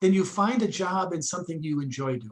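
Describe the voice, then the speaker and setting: Music plays in the background as the speaker talks at a moderate pace with lively intonation. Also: man. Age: 60s. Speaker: business school lecturer running a finance workshop. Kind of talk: online workshop lecture. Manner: conversational.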